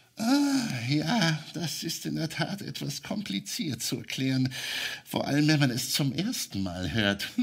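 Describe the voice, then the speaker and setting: Putting on a character voice, a man speaks fairly slowly at a fairly high pitch, with light background noise behind him. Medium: audio drama. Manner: patient, explanatory, gently witty.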